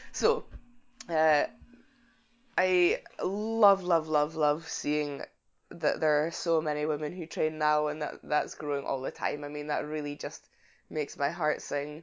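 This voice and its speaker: In a Scottish accent, a woman with a very deep, low pitch talks at a fairly slow pace, her intonation fairly even and broken by long, frequent pauses. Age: 20s. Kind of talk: casual interview chat.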